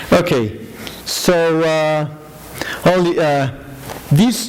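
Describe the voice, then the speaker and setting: A man talks very slowly, his words echoing in the room amid noticeable background noise. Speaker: lecturer. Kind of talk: lecture. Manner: halting, many fillers.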